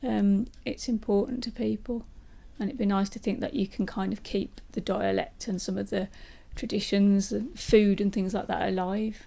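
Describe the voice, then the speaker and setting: A somewhat breathy woman's voice at medium pitch with a dark, mellow tone, fairly even intonation and a moderate pace. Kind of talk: interview answer.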